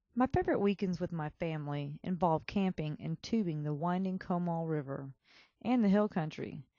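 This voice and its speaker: With a strong Texan accent, a woman speaks at a moderate pace, her fairly low pitch showing ordinary variation. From Texas. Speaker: student essayist. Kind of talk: reading aloud a personal essay.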